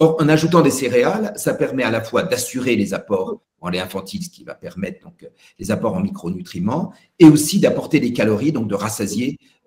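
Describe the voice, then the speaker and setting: The voice is somewhat breathy, with big swings in loudness and very wide pitch swings. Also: man, medium pitch for a man, fairly quick pace. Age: 60s. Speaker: pediatric nutrition professor. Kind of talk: Q&A at a web conference. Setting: web conference. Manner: halting, many hesitations.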